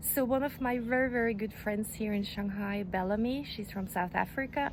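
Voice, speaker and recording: Somewhat breathy, a woman with a Norwegian accent speaks at a fairly high pitch. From Norway. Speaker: crochet youtuber. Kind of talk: tutorial. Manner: casual, chatty with fillers.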